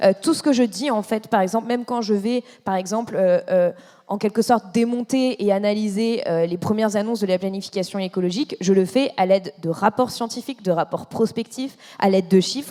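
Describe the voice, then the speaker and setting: With a dark, mellow tone, a woman speaks at a fairly quick pace and a medium pitch. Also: ordinary pitch variation. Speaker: environmental journalist. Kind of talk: panel discussion. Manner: fast; hesitant, many fillers.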